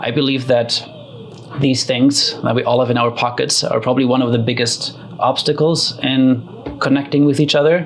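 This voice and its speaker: With a slight German accent, a man of medium pitch speaks at a moderate pace in a monotone, flat intonation and very even loudness, with noticeable background noise behind him. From Germany. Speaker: community builder and facilitator. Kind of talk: interview. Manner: hesitant, many fillers.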